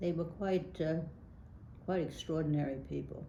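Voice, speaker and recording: At a moderate pace and with fairly even intonation, the speaker has a dark, mellow tone and an American accent, with audible room echo around the voice. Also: woman. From New York City (Brooklyn). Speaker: local politician. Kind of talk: oral history interview. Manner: hesitant, many fillers.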